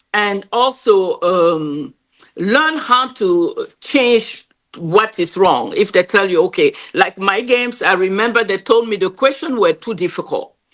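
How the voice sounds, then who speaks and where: Speaking with a French accent, a woman of medium pitch talks at a fairly slow pace with lively intonation. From Cameroon. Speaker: game creator and entrepreneur. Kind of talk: interview.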